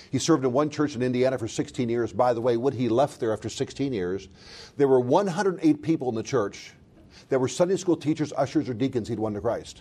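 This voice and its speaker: A man with an American accent talks at a fairly quick pace, his dark, mellow tone carried by lively intonation. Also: medium pitch for a man. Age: 50s. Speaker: college vice president and preacher. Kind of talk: sermon.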